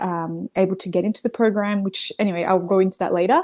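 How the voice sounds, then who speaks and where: A woman with an Australian accent speaks at a medium pitch with ordinary pitch variation. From Brazil. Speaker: mother sharing birth story. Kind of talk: interview. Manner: hesitant, many fillers.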